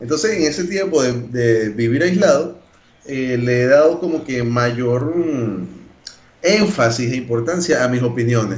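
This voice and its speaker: There is audible room echo. A man speaks with lively intonation. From Venezuela, Caracas (Caricuao). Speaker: podcast co-host. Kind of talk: casual chat.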